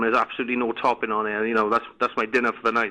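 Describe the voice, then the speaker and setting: Speaking very fast, a man with a Welsh accent has a bright, sharp tone. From Wales. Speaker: complaining customer caller. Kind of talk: prank phone call. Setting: phone line. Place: home room. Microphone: phone line.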